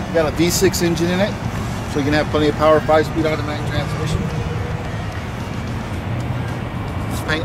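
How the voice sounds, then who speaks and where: Music plays in the background. The speaker keeps a fairly quick pace. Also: man. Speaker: car salesman. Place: street. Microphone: camera far.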